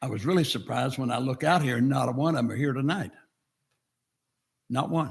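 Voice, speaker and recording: Speaking very fast but with long, frequent pauses, a man at a medium pitch shows vocal fry and ordinary pitch variation. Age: 80s+. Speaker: town council member. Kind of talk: public speech at council meeting. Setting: podium at council meeting.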